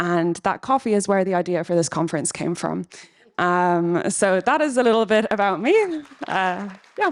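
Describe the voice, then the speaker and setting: A woman speaks with an Irish accent. Her pitch varies in an ordinary way. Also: medium pitch for a woman, moderate pace. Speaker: PhD researcher and charity treasurer. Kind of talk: conference panel introduction.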